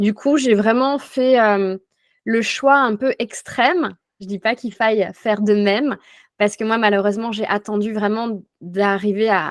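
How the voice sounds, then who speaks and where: Against a quiet background with a dry, close sound and no echo, a woman speaks at a fairly slow pace in a fairly high pitch with ordinary pitch variation. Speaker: life coach, former notary. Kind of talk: interview testimony. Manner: hesitant, many fillers.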